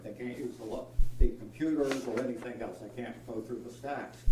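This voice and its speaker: Audible room echo and noticeable background noise accompany talk delivered at a fairly quick pace. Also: man. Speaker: public commenter at a county meeting. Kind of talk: public comment. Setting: county meeting room, no microphone. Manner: loud.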